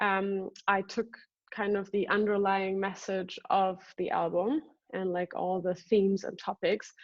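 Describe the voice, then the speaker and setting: This woman's medium-pitched voice moves at a fairly slow pace, her intonation monotone and flat. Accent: non-native. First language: not English. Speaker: singer and artist. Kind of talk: interview. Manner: halting, many fillers.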